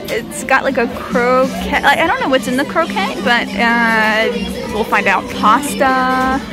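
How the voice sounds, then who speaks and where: Clear music plays behind a woman speaking at a very slow pace. Her pitch variation is ordinary. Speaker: travel vlogger. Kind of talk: casual vlog chat. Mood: cheerful, curious. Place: cafe. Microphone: phone near.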